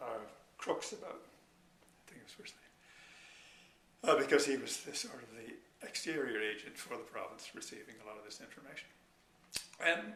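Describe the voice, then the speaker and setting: Noticeable background noise and audible room echo surround the man's speech. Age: 70s. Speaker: retired energy researcher. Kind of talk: interview. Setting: sit-down interview. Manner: hesitant, many filler words.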